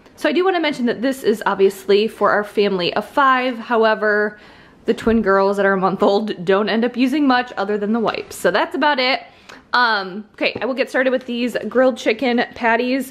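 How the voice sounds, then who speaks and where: Ordinary pitch variation marks this woman's voice. She moves along at a fairly quick pace. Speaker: vlogger. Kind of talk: casual vlog chat. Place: kitchen. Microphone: phone near.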